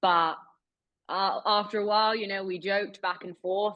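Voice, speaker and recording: A woman speaks in a British accent. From Britain. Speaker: investigative journalist. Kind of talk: webinar interview.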